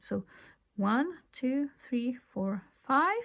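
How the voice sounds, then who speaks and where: A woman's high voice with a non-native accent and lively intonation, in a very clean recording with a silent background. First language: not English. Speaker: crochet tutorial creator. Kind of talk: tutorial. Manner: casual, conversational.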